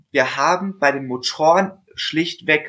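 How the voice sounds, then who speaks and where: The pace is very slow. The pitch swings very widely. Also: man. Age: 20s. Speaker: bicycle mechanic apprentice and salesman. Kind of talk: casual interview. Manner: hesitant, many filler sounds.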